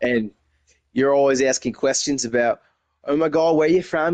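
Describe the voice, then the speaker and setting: An American-accented man talks at a fairly quick pace with ordinary pitch variation, in a dry, close sound with no echo. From Texas. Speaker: gaming community member. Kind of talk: casual interview. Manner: animated.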